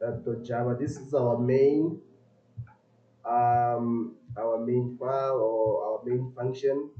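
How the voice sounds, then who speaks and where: A man's medium-pitched voice at a very slow pace with fairly even intonation, music playing in the background. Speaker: coding tutor / software developer. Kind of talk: live-stream coding tutorial. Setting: live stream. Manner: loud; halting.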